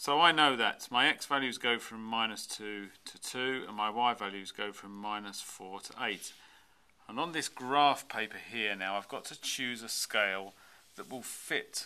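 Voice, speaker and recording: A man speaks at a fairly slow pace with a bright, sharp tone. His loudness swings widely while his pitch varies in an ordinary way. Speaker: maths teacher. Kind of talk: tutorial. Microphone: camera far.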